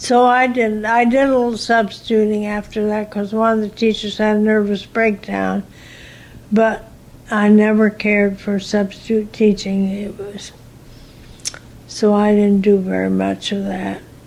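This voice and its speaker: Using monotone, flat intonation, a woman with an American accent speaks fairly slowly at a medium pitch. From US Midwest. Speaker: retired teacher. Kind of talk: oral history interview. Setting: in her room.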